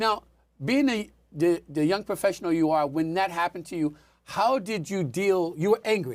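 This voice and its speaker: Recorded very cleanly against a silent background, a man with a high pitch speaks at a moderate pace with lively intonation. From Washington DC area. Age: 60s. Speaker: talk show host. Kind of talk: interview.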